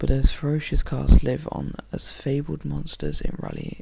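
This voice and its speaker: Soft-spoken delivery at a fairly slow pace. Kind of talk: ASMR soft-spoken reading of facts.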